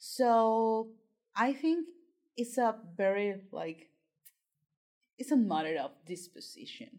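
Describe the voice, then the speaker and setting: With a Spanish accent, a woman talks at a fairly high pitch, her voice swinging very widely up and down. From Colombia. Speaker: PhD student and writing tutor. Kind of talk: interview.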